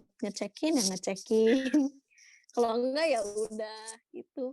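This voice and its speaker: Recorded very cleanly with a silent background and a dry, close sound with no echo, a woman with a strong Sundanese accent speaks in a dark, mellow tone with ordinary pitch variation. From Indonesia, Bandung (Sundanese). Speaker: university student. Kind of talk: casual interview.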